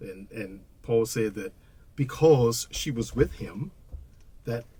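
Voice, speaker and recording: A man's somewhat breathy voice. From Washington, D.C., US. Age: 60s. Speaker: blues musician and educator. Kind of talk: casual podcast conversation.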